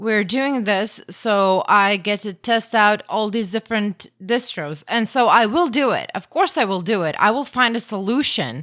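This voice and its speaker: With a Croatian accent and lively intonation, a woman speaks at a fairly high pitch on a very clean recording with a silent background. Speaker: podcast guest trying Linux. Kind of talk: casual chat.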